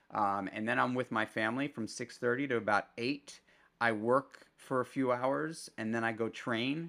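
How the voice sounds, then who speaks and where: A man's bright, sharp voice with an American accent and ordinary pitch variation, in a very clean recording with a silent background. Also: medium pitch for a man, moderate pace. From New York City, Manhattan. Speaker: restaurateur and entrepreneur. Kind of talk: casual interview conversation.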